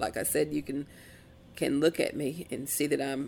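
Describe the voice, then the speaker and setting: On a very clean recording with a silent background, a woman speaks at a very deep, low pitch with vocal fry. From Casey County, Kentucky (Appalachia). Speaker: author and professor. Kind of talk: interview. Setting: bookstore.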